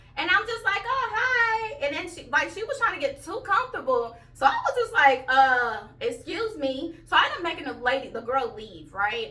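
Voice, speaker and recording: Raised and projected, a woman's voice hits extremely high pitches with very wide pitch swings and big swings in loudness, bright and sharp in tone, at a moderate pace with hardly any pauses. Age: 30s. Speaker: YouTuber. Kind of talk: storytelling vlog. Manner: animated.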